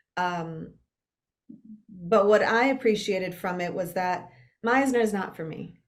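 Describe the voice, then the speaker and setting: A woman with a medium-pitched voice speaks with ordinary pitch variation, big swings in loudness, and long, frequent pauses. Audible echo fills the room. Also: fairly slow pace. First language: Spanish. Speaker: actor. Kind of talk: casual interview conversation.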